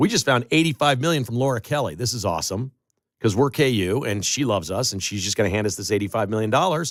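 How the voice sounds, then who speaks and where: In a very clean recording with a silent background, a man talks at a very fast pace with vocal fry. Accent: American. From Chicago. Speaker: talk radio host. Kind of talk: talk radio monologue. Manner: animated.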